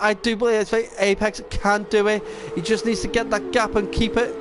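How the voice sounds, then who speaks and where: This man's voice sits high in pitch, and his loudness stays very even. He talks at a moderate pace against noticeable background noise. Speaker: esports race commentator. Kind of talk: live commentary. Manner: halting, frequent self-corrections; excited.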